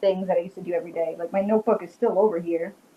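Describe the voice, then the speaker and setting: Over noticeable background noise, a woman with a strong Rhode Island accent speaks at a medium pitch with ordinary pitch variation. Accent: strong Rhode Island, New England. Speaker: witch and paranormal investigator. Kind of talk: casual interview chat.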